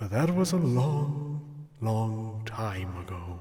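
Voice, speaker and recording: A man draws out his words at a very slow pace in a put-on character voice. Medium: audio drama. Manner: formal, dry deadpan humor.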